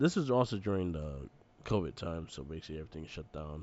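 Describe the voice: A man talks at a fairly quick pace. His tone is slightly mellow and his intonation lively.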